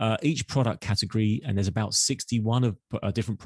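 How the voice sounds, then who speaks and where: Recorded dry and close with no echo over a quiet background, a man in a plain, everyday voice speaks at a fairly quick pace with a medium pitch and ordinary pitch variation. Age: 50s. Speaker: marketing executive and podcast host. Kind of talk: interview.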